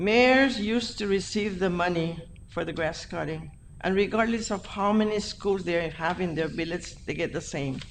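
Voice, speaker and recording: With ordinary pitch variation, a woman speaks amid audible room echo. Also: medium pitch for a woman, moderate pace. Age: 80s+. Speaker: school board member. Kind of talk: board meeting discussion.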